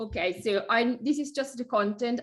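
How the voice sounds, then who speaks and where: Fairly slow speech from a woman with an Italian accent, ordinary pitch variation, and a very clean recording with a silent background. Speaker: small business owner, website review guest. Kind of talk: casual chat. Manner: halting.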